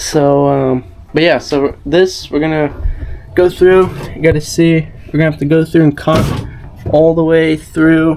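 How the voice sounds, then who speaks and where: A man at a very slow pace, fairly high-pitched and flatly monotone, with noticeable background noise. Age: 20s. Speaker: surfer and filmmaker. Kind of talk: casual talk to camera.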